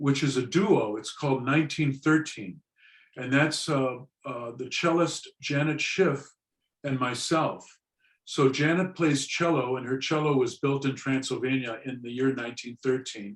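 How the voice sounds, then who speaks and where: A man with an unremarkable speaking voice talks at a moderate pace, his fairly high pitch showing ordinary pitch variation. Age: 60s. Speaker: drummer and musician. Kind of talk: interview.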